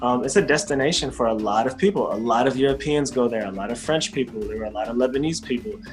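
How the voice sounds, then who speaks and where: With music in the background, a man at medium pitch speaks at a very fast pace with hardly any pauses and very wide pitch swings. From United States. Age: young. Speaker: rapper, performer, storyteller. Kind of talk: interview answer.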